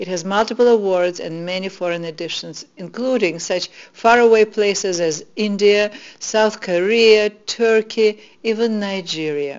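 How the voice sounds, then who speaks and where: A woman with a Russian accent speaks at a medium pitch with ordinary pitch variation. Her loudness swings widely, and her pace is fairly slow. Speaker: spiritual teacher. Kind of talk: inspirational talk.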